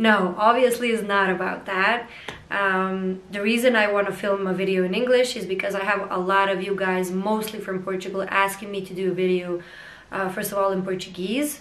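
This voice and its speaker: A woman speaks at medium pitch and a moderate pace, her intonation monotone and flat. Room echo is audible, and there is noticeable background noise. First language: not English. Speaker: vlogger. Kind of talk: casual vlog monologue. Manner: hesitant, many fillers.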